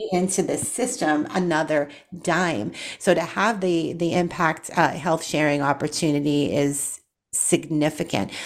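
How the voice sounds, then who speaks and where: This woman has a very deep, low voice, speaking fairly slowly with ordinary pitch variation. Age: 40s. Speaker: nurse and radio show host. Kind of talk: talk radio interview; scripted intro and outro.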